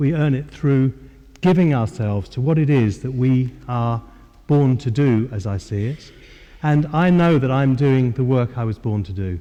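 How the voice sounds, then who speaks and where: In a London accent, a man with a medium-pitched voice and a dark, mellow tone talks at a moderate pace with ordinary pitch variation. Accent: southern English (London). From England, north-west London. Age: 60s. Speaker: spiritual teacher. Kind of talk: lecture. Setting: church hall with audience. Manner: halting, with many fillers.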